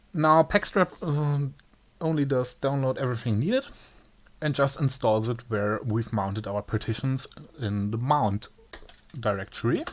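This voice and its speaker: A man with a German accent talks at a moderate pace and medium pitch, with ordinary pitch variation. He leaves long, frequent pauses. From Germany. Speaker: tech tutorial maker. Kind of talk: tutorial. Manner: halting, with many pauses.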